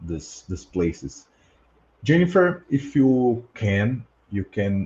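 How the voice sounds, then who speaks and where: At a very slow pace, a man with a Portuguese accent speaks at medium pitch in a dark, mellow, somewhat breathy tone, his pitch swinging very widely. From Brazil. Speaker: podcast host, past-life researcher. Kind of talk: casual group discussion. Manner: halting, many fillers.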